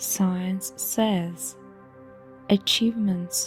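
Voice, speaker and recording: A woman's calm tone with music in the background. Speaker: hypnotherapist. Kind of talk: hypnosis meditation guide. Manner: calm, slow-paced, measured.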